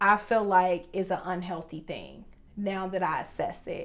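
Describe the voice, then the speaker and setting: This is a woman speaking at medium pitch. Her pitch varies in an ordinary way. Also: very clean recording, silent background. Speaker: podcast co-host. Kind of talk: casual relationship podcast chat. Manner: loud.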